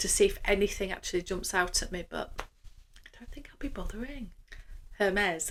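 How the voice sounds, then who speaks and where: A woman speaks in a Yorkshire accent. Her pace is moderate. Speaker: luxury fashion vlogger. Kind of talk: casual vlog monologue.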